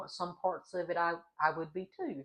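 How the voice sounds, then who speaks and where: Speaking with a Southern US accent, a woman uses a fairly low pitch, a moderate pace and monotone, flat intonation. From US South. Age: 40s. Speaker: vlogger, adult college student. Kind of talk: casual vlog talk.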